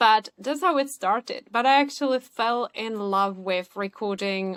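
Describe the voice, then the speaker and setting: A woman with a Czech accent and a fairly high pitch, at a moderate pace with ordinary pitch variation, in a dry, close sound with no echo. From Czech Republic. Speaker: podcaster and emotional wellness coach. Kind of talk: interview conversation.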